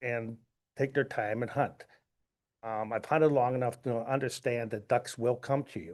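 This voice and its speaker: A man's medium-pitched voice with an American accent and fairly even intonation, against a quiet background. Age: 60s. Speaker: duck hunter giving public comment. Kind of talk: public comment at board meeting.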